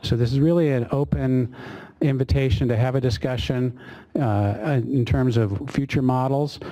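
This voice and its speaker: A man's voice with fairly even intonation and very even loudness. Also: medium pitch for a man, moderate pace. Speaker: government official moderating a public workshop. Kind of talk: workshop opening remarks. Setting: meeting room with audience, webinar. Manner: hesitant, many fillers.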